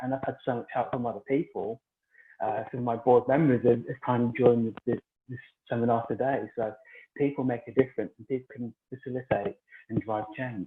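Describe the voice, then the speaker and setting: Fairly even intonation marks a man's fairly quick speech. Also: medium pitch for a man, big swings in loudness. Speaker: inclusion advocate and boxing event founder. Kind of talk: interview at online summit.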